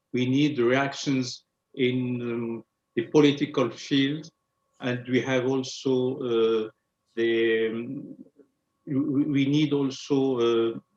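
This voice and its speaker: A man with a French accent, very slow and monotone, with flat intonation and long, frequent pauses. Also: medium pitch for a man. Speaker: president of an Islamic foundation. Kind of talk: panel discussion. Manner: halting.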